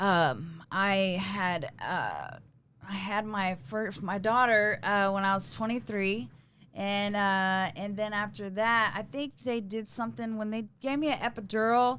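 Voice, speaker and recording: In a Texas accent, a woman talks at a fairly slow pace with a bright, sharp tone, a medium pitch and ordinary pitch variation. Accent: Texas Southern. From East Texas. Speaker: recovery guest. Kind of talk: testimony. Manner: halting, many fillers.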